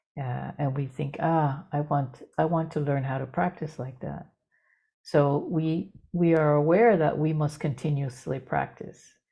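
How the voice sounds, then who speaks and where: She is soft-spoken and somewhat breathy. This woman talks at a very slow pace. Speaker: dharma teacher. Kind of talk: dharma talk. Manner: halting. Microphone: too quiet.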